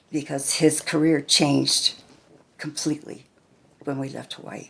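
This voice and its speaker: A woman with an American accent talks at a moderate pace. Her pitch is very deep and low, with vocal fry. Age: 70s. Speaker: grandmother interviewed about her life. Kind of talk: family oral history interview.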